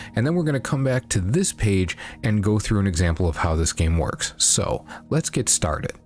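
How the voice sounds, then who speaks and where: Soft-spoken and at very even loudness, a man with a fairly low pitch talks at a moderate pace with very wide pitch swings over music in the background. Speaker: sumo commentator. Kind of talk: casual talk to camera. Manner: quiet, muted, soft-spoken; semi-ASMR feel.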